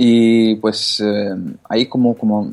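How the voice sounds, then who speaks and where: A man talks in a monotone with flat intonation. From Italy. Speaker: jailbreak blogger. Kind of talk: casual interview.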